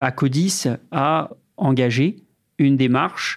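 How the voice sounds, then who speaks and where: The voice belongs to a man. Ordinary pitch variation marks his speech. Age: 20s. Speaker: digital accessibility lead, blind. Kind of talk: interview testimony.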